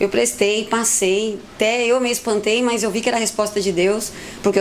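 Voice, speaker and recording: Against noticeable background noise, a woman talks at a fairly quick pace in a fairly high pitch with fairly even intonation. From Brazil, São Paulo city. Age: 30s. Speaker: recovered addict, volunteer. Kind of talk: testimony.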